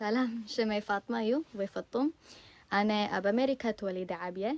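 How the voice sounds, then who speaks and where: In a dry, close recording with no echo, a woman with a plain, everyday voice talks at a fairly slow pace, at medium pitch with ordinary pitch variation. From US, Virginia. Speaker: language learner vlogger. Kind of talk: casual multilingual self-introduction.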